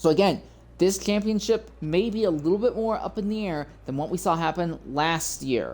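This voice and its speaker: This woman's fairly low voice carries some vocal fry. She talks at a moderate pace with ordinary pitch variation. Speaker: sim racing broadcast host. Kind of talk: live commentary. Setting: livestream. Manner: halting.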